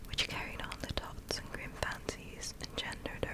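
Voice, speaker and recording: Whispering against noticeable background noise. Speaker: ASMR creator. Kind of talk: whispered reading aloud. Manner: slow.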